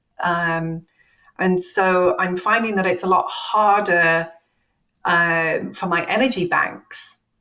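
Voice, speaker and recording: Very slowly and with fairly even intonation, a woman speaks at a medium pitch in a bright, sharp tone. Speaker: tech company accessibility executive. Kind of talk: interview conversation.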